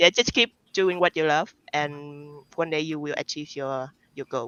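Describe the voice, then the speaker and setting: A woman with a non-native accent speaks at a very deep, low pitch, using ordinary pitch variation. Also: moderate pace. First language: not English. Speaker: card game artist. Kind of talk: interview. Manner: halting.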